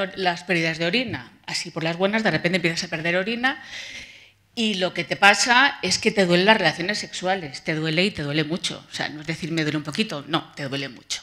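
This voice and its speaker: Against a quiet background, the voice moves at a fairly quick pace with lively intonation and a bright, sharp tone. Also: woman. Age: 50s. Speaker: patient advocate. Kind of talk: testimony. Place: hall. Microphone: podium.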